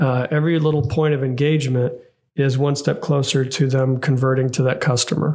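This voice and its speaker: The voice is monotone and flat in intonation, somewhat breathy, with very even loudness. It moves at a fairly quick pace. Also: man, fairly high pitch for a man. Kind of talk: casual podcast discussion.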